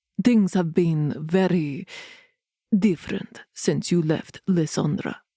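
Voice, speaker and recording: Putting on a gruff character voice, a woman speaks at a fairly low pitch and a fairly slow pace. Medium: read story. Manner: gruff, measured, formal.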